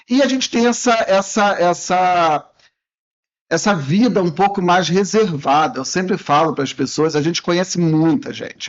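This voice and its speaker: High pitch from a man, lively intonation, and a fairly slow pace. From Rio de Janeiro, Brazil. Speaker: professional condo manager. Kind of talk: interview. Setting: studio.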